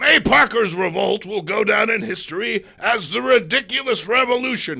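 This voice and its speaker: Using a put-on character voice, a man speaks at a moderate pace with a high pitch and lively intonation. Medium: read story. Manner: loud, blustering.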